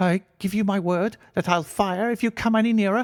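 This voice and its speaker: A man's shaky, high-pitched put-on character voice at a moderate pace, with very even loudness. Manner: frightened, threatening.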